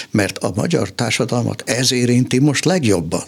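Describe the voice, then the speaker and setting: A plain, everyday voice at a fairly slow pace. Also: man. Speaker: political scientist and economist. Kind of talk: radio interview.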